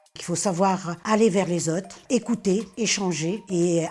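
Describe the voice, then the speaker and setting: Somewhat breathy and dark, mellow in tone, this voice shows ordinary pitch variation. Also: woman. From Réunion. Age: 60s. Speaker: retired cook and volunteer. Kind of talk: personal testimony.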